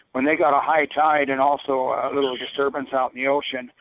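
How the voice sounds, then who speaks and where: At a moderate pace, the delivery stays monotone, with flat intonation. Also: man. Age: 70s. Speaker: caller. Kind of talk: call-in talk radio. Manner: halting.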